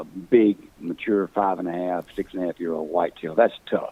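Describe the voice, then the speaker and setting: With a Mississippi accent, a man speaks in a very deep, low pitch and fairly even intonation, the sound dry and close with no echo. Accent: Southern US (Mississippi). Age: 60s. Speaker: hunting call company founder. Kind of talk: casual chat. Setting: podcast.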